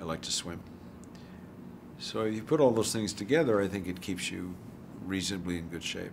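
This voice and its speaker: Noticeable background noise sits behind a man whose voice is very deep and low in pitch, with ordinary pitch variation. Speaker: film actor interviewee. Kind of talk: interview answer.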